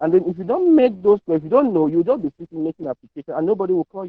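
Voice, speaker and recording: A man is speaking. His intonation is lively. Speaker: medical laboratory scientist presenter. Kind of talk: masterclass presentation. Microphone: unsure if audible, volume issues.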